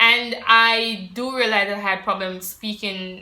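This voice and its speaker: There is noticeable background noise as a woman talks with a fairly high pitch and ordinary pitch variation. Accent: Jamaican. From Jamaica. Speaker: vlogger. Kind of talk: personal vlog talking to camera. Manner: casual, conversational with fillers.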